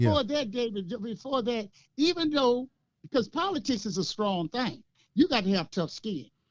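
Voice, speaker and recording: Very wide pitch swings mark this man's extremely high voice as he talks at a moderate pace. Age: 60s. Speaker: local political commentator. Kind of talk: casual chat. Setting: podcast. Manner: animated.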